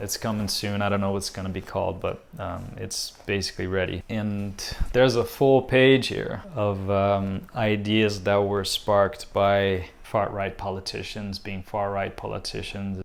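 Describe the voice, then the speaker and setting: Hardly pausing, a man with a Portuguese accent speaks at a fairly slow pace in a fairly low pitch and monotone, flat intonation. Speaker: visual artist. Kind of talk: casual vlog update. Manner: hesitant, many fillers.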